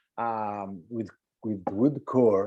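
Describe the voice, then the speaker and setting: A man with an Italian accent speaks in a dark, mellow tone. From Italy. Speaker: timpanist. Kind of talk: webinar discussion. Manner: halting.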